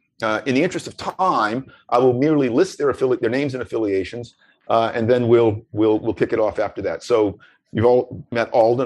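Against a quiet background, a man with an ordinary speaking voice talks at a fairly quick pace, medium in pitch. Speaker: panel moderator. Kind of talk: panel discussion. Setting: webinar.

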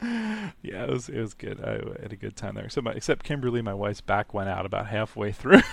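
A man talks with hardly any pauses, his loudness swinging widely. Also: fairly quick pace. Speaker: radio host. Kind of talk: interview, casual chat.

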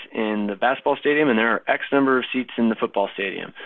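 Fairly even in intonation, a man speaks at a medium pitch in an unremarkable speaking voice. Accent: American. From Minnesota, US Midwest. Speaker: university athletics fundraising director. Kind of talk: podcast interview.

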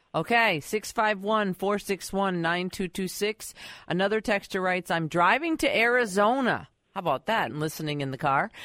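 Her voice is an unremarkable speaking voice, a woman's at medium pitch, with lively intonation, a moderate pace, and a dry, close sound with no echo. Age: young. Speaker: radio co-host. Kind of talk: radio call-in show hosting. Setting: radio studio.

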